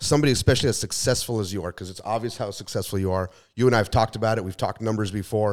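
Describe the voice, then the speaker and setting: Talking at a very fast pace, a man with an American accent has a fairly low pitch, recorded very cleanly against a silent background. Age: 40s. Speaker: podcast co-host. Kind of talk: casual interview chat.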